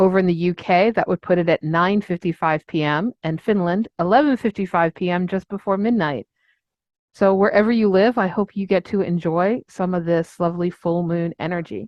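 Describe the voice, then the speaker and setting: A woman with an unremarkable speaking voice talks at a moderate pace and medium pitch, using ordinary pitch variation. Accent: American. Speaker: astrologer podcast co-host. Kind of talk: podcast discussion.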